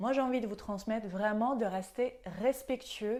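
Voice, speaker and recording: Pitch varies in an ordinary way as the speaker moves at a fairly slow pace. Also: woman. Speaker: nutrition coach and yoga teacher. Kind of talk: health tips video talk. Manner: hesitant, frequent fillers.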